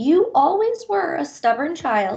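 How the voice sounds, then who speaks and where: A woman puts on a character voice, high in pitch with very wide swings, at a fairly slow pace. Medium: read story. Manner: haughty, formal, theatrical.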